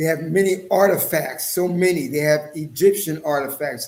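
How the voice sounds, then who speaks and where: At a fairly slow pace, a man with a fairly high pitch speaks with ordinary pitch variation. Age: 60s. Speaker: religious video commentator. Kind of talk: casual monologue. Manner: animated.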